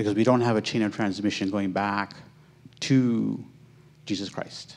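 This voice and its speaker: Monotone and flat, a man with a fairly low voice talks at a moderate pace with an American accent. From United States. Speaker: Islamic teacher. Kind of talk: answer to audience question. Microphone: handheld.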